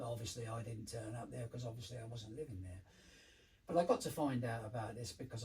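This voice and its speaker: Somewhat breathy, this man speaks very fast at a medium pitch. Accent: London. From London, England. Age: 70s. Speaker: former addict, community care manager. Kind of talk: life story interview. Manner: halting.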